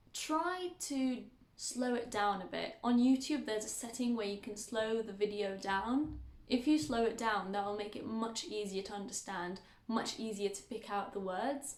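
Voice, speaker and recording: In a British accent, a woman speaks at a moderate pace with a fairly high pitch and ordinary pitch variation. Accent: British English, learned as second language. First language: Arabic. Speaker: language teacher. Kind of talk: tutorial.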